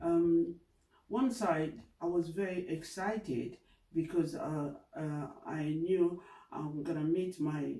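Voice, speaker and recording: This man has a high voice with a dark, mellow tone. He talks at a very slow pace with ordinary pitch variation. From DR Congo, Kinshasa. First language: French or Lingala. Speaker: community member interviewee. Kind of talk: oral history interview. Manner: hesitant, many fillers.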